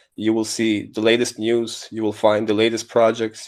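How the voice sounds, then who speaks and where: Over a silent background on a very clean recording, a man talks at a moderate pace and medium pitch. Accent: non-native. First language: not English. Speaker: crypto newsletter writer, project co-founder. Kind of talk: casual chat.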